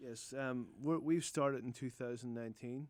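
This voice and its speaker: A man with an Irish accent talks at a fairly quick pace with fairly even intonation. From Northern Ireland, Newcastle (County Down). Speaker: roofing contractor. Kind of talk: radio interview. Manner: hesitant, repeats words.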